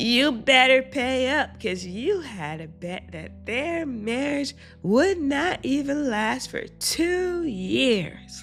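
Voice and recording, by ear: A female-sounding, put-on character voice with a high pitch speaks at a very slow pace with hardly any pauses while clear music plays in the background.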